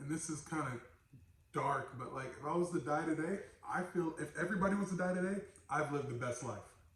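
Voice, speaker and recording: Talking at a very fast pace, this man has a fairly high pitch and ordinary pitch variation, with audible room echo around him. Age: 30s. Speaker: podcast host. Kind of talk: casual chat.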